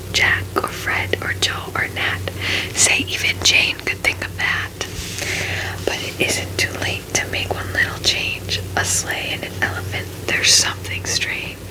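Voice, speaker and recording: Amid noticeable background noise, the whispering proceeds at a fairly slow pace. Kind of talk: ASMR bedtime story reading. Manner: soft-spoken, calming.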